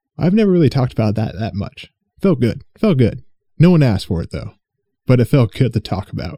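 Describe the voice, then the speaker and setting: With very wide pitch swings around a medium pitch, a man talks at a fairly quick pace in a dark, mellow tone with vocal fry, in a dry, close sound with no echo. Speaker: podcast host and streamer. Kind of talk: solo casual monologue. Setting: home recording with headphones. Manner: rambling, halting with fillers.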